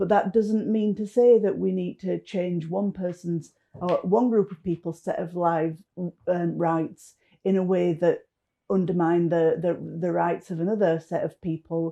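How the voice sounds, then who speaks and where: In a northern English accent, a woman with a dark, mellow tone and fairly low pitch speaks at a fairly slow pace with fairly even intonation. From northern England. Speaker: political activist. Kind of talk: political commentary.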